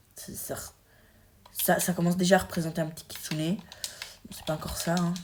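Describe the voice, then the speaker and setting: A woman talks in a fairly low pitch with an animated tone. Noticeable background noise sits behind her. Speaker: gaming YouTuber. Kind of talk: gameplay commentary. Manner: halting.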